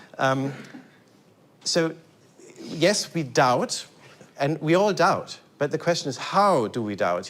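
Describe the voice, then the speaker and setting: A man with a German accent speaks with a fairly high pitch and lively intonation. He takes long, frequent pauses. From Germany. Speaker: lecturer, composer. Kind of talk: lecture. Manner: halting, many repetitions and fillers.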